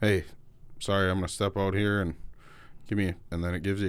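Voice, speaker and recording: Delivered at a very fast pace with monotone, flat intonation, the voice has an American accent on a very clean recording with a silent background. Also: man. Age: 30s. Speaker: podcast host. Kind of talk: casual chat. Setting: studio.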